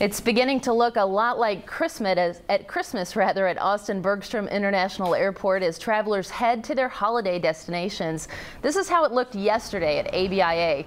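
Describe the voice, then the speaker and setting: A woman's medium-pitched voice carries lively intonation. Noticeable background noise sits behind her. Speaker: TV news anchor. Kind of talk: TV news anchor read.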